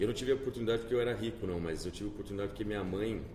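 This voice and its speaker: A man's fairly low voice carries through a room with audible echo. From Campinas, São Paulo interior, Brazil. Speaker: entrepreneur, leadership company founder. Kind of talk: podcast interview.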